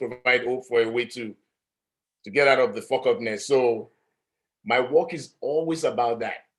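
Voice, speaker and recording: A man with an African accent talks at a moderate pace. His pitch is medium, with ordinary pitch variation. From Nigeria. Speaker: artist. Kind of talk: panel discussion. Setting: live-streamed talk.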